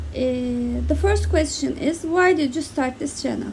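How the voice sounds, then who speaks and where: Over noticeable background noise, a woman speaks with a Turkish accent. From Turkey. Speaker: book reviewer. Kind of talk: casual talk to camera.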